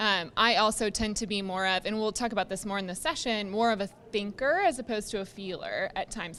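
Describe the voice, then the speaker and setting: Loud and at a fairly quick pace, a woman speaks at a medium pitch in a bright, sharp tone with ordinary pitch variation, recorded very cleanly against a silent background. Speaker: physical therapist. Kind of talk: interview. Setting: conference. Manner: fast.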